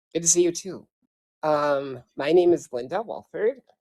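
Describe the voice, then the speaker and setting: A woman with an Upper Midwest accent. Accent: Upper Midwest American. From rural southwestern Minnesota. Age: 60s. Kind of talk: self-introduction in online meeting. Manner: halting.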